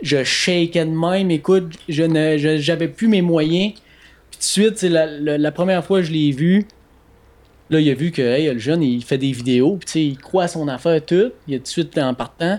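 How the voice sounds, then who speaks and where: This man has a Quebec accent and fairly high pitch. He talks at a moderate pace with ordinary pitch variation. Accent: Québécois French. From Quebec, Bas-Saint-Laurent (La Pocatière). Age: 20s. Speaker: hunting and fishing store co-owner. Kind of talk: casual chat. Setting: studio.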